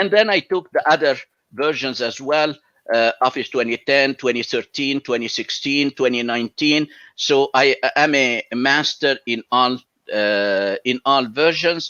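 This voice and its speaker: A man at a medium pitch with an Arabic accent, ordinary pitch variation and a fairly slow pace. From Egypt. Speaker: college professor and Excel instructor. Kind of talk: interview.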